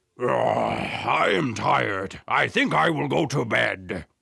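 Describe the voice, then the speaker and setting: A man puts on a raspy character voice. His pitch is very deep and low, and his pace is fairly slow. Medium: read story. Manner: booming, gruff.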